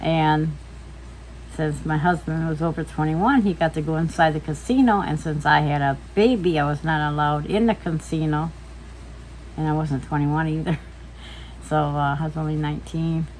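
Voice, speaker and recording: A woman with a very deep, low pitch and a somewhat breathy voice speaks at a moderate pace. Her intonation is fairly even, and she takes long, frequent pauses. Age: 70s. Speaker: mother and grandmother interviewed by her son. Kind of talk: casual family interview.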